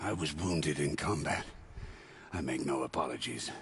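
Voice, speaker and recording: A raspy, put-on character voice at a moderate pace with ordinary pitch variation. Background noise is clearly heard. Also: man, very deep, low pitch for a man. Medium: video game. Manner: curt, sullen.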